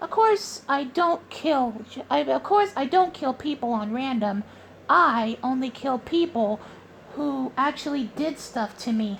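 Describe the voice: In a cartoonish character voice, a woman speaks at a high pitch and a fairly slow pace with lively intonation, over clear background noise.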